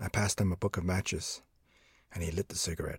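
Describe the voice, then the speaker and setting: A man with a very deep, low, somewhat breathy voice talks at a very fast pace with fairly even intonation. The very clean recording has a silent background and a dry, close sound with no echo. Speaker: audiobook narrator. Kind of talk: dramatic first-person fiction narration with dialogue, read aloud. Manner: shifts voice for quoted characters, gruff street dialogue.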